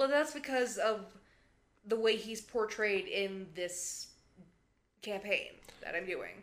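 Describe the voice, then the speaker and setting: Using long, frequent pauses, a woman speaks at a very slow pace and a fairly high pitch, with ordinary pitch variation. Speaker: podcast co-host. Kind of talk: casual podcast chat.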